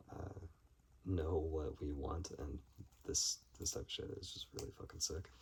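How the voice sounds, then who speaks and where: At a fairly slow pace, a man speaks with fairly even intonation in a very deep, low voice. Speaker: film collector video creator. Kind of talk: casual haul video monologue. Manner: halting with many fillers.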